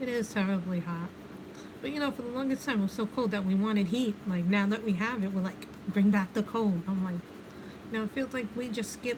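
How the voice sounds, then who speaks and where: Over noticeable background noise, a woman with a New York accent speaks fairly quickly at a medium pitch, with ordinary pitch variation. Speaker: livestreamer doing adult coloring. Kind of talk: casual chat. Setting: livestream. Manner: chatty, conversational.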